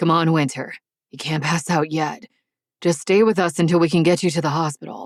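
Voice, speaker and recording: A soft-spoken, growling put-on character voice talks at a fairly quick pace. Pitch variation is ordinary, and the sound is dry and close with no echo. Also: woman, fairly low pitch for a woman. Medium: read story. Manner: murmuring, soft.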